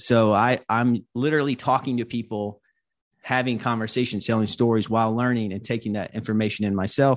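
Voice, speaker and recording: Against a quiet background, a man with an American accent and a medium pitch talks at a fairly quick pace in an ordinary speaking voice with fairly even intonation. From US South (North Carolina). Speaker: video editor and podcaster. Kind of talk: panel discussion. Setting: video call. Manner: casual, many filler words.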